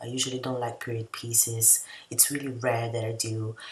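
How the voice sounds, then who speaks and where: The speaker has a non-native accent. Noticeable background noise runs through the clip. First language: not English. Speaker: video essayist / TV reviewer. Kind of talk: casual review monologue. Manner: hesitant, many fillers.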